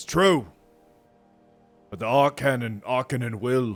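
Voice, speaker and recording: Over faint background music, a man uses a put-on character voice at a medium pitch and a fairly slow pace. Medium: read story. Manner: nervous.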